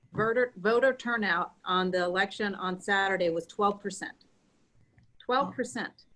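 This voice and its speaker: Bright and sharp in tone, a woman speaks at a moderate pace. Her medium pitch shows ordinary variation. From Mexico, came to US at age 8. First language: Spanish. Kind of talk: talk show interview.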